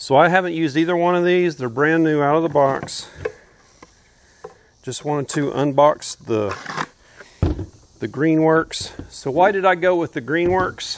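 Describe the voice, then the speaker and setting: A man at a fairly slow pace, with long, frequent pauses and ordinary pitch variation, over noticeable background noise. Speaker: homesteader reviewing tools. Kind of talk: product review commentary. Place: open country.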